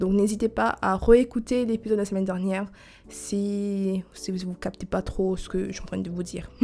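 Her tone dark and mellow, a woman speaks at a moderate pace with a medium pitch and fairly even intonation. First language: not French (speaking French). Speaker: podcast host. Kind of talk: monologue to listeners; casual chat. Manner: halting.

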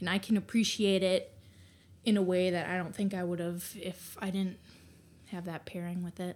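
Keeping a moderate pace with long, frequent pauses, a woman speaks at a medium pitch in a monotone, flat intonation. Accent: Upper Midwest. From Wisconsin, Green Bay. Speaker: tarot reader. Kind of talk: casual interview chat. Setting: in person at host's home.

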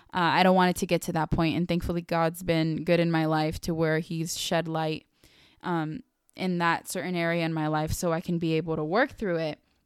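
At a fairly quick pace, a woman speaks in a monotone, flat intonation in a very clean recording with a silent background. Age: 20s. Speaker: podcast host. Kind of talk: solo personal monologue. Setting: in her bedroom.

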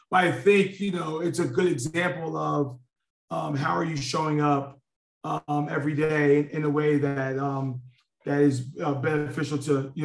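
A man speaks with a New York accent at a moderate pace. His voice sits fairly high, with ordinary pitch variation. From New York (Queens). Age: 30s. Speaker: corporate leader. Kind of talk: interview conversation. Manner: halting, many fillers.

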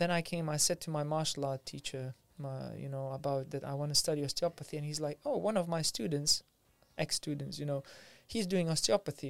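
In a very clean recording with a silent background, a man with a Lithuanian accent speaks at a fairly quick pace, his fairly high pitch following a fairly even intonation. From Lithuania, Vilnius. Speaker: martial arts teacher and osteopath. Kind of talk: casual interview chat.

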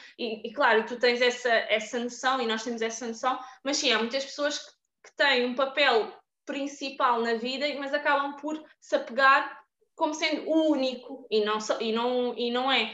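Speaking at a fairly slow pace, a woman with a high pitch uses a raised, projected voice with a bright, sharp tone, fairly even intonation and big swings in loudness. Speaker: podcast host. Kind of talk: casual chat.

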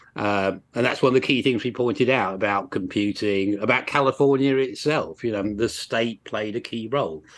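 A man with an English accent talks at a moderate pace with ordinary pitch variation and hardly any pauses against a quiet background. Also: medium pitch for a man. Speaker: university lecturer and author. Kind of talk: interview.

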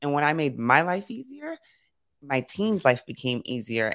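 A woman talks fairly fast in a very deep, low voice. The recording is very clean, with a silent background. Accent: New York. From New York City (Brooklyn and Queens). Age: 40s. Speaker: leadership coach. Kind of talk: casual chat.

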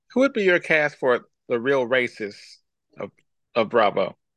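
A man talks at a moderate pace. His pitch is medium and his intonation lively. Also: long, frequent pauses. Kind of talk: casual chat. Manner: animated.

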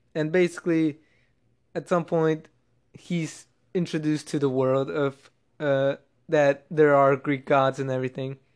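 Against a quiet background, a man with a fairly high pitch talks at a fairly slow pace with fairly even intonation and long, frequent pauses. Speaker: podcast host. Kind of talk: casual solo monologue. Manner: monotone; halting, many restarts.

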